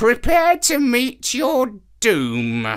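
A high-pitched woman's voice is captured on a very clean recording with a silent background. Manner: grim, warning.

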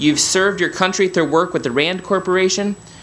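A man's voice amid noticeable background noise. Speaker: professor presenting honorary degree candidate. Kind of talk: formal citation reading, presenting honoree. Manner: formal, stately, read aloud.

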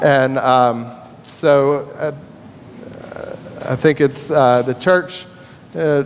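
A man talks while light background noise sounds behind him. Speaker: minister. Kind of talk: church announcements. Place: church.

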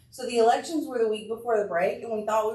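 A fairly high-pitched woman with an American accent, with audible room echo. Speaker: school administrator. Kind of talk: public meeting remarks. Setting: school board meeting with PA mic. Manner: loud.

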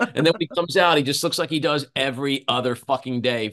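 An animated man with a New York accent against a quiet background. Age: 60s. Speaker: podcast host and political commentator; podcast host, political commentator. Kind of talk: casual chat. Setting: video call. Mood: indignant, sarcastic. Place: home room. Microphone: video call.

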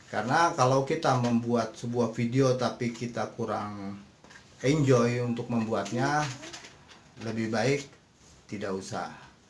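Over light background noise and audible room echo, a man talks at a fairly slow pace with long, frequent pauses and fairly even intonation. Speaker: YouTuber. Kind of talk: casual tutorial talk to viewers. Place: home room. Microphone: phone near.

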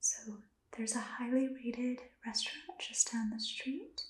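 Soft-spoken and gentle in tone, the voice moves at a moderate pace with fairly even intonation and audible room echo. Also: woman. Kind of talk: role-play dialogue, language practice. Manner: soft-spoken, gentle ASMR voice. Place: home room. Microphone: phone near.

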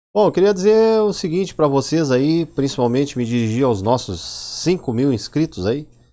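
Speaking at a moderate pace with hardly any pauses, a man with a Rio Grande do Sul accent uses a dark, mellow tone and very wide pitch swings. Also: fairly high pitch for a man. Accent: southern Brazilian gaúcho Portuguese. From Brazil, Rio Grande do Sul (Porto Alegre). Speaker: YouTuber, Linux tech channel host; tech channel host. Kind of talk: casual vlog monologue. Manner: animated.

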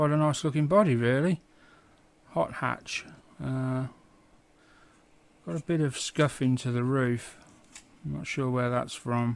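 The man talks at a fairly slow pace. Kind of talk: casual review commentary. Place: home room.

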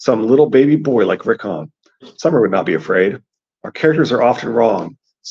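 Quiet surroundings behind a natural reading voice.

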